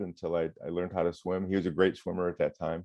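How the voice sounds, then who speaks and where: A man in an Upper Midwest accent talks in a monotone, flat way at a very deep, low pitch. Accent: Upper Midwest American. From Michigan. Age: 60s. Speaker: retired firefighter and water safety educator. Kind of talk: interview.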